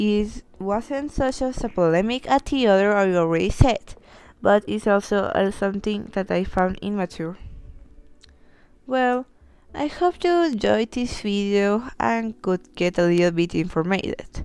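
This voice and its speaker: A fairly slow voice with a Spanish accent and ordinary pitch variation, recorded very cleanly against a silent background. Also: woman, medium pitch for a woman. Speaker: YouTuber. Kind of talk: commentary video. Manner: halting.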